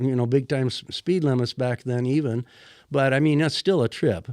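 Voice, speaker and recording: A man with an American accent, a dark, mellow tone at medium pitch, ordinary pitch variation and a fairly quick pace, against a quiet background. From US Midwest, northwest Iowa. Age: 70s. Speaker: fishing magazine editor. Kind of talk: casual interview. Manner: halting, many fillers.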